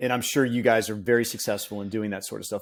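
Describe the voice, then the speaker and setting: A man at medium pitch with a normal speaking voice, ordinary pitch variation and a very clean recording over a silent background. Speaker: head of software at a fitness tech company. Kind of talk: casual interview.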